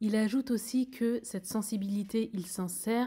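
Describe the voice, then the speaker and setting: In a very clean recording with a silent background, a soft-spoken woman talks at a medium pitch and moderate pace with a dark, mellow tone, a somewhat breathy quality, and fairly even intonation. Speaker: singer and vlogger. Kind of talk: narration.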